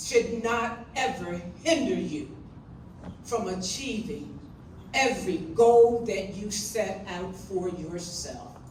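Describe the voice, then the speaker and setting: At a very slow pace, a woman speaks amid noticeable background noise and audible room echo. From Lewes, Delaware. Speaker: retired educator. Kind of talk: panel recollections.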